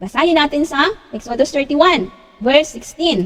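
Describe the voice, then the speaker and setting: A woman's pitch swings very widely as she talks at a fairly slow pace. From Philippines, Pangasinan. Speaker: lay preacher / Bible teacher. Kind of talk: Bible study talk. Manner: halting, many fillers.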